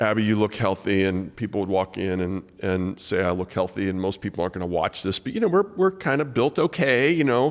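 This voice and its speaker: Heard in a very clean recording with a silent background, a man with a plain, everyday voice speaks at a fairly low pitch and a fairly quick pace, with ordinary pitch variation and hardly any pauses. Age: 60s. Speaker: podcast host, pastor. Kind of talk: casual interview.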